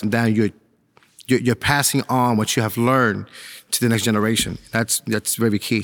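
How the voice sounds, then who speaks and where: With an American accent, a man speaks at a fairly quick pace in a monotone, flat delivery, recorded dry and close with no echo and a silent background. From New York City, Spanish Harlem. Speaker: police officer and pastor. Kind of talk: interview.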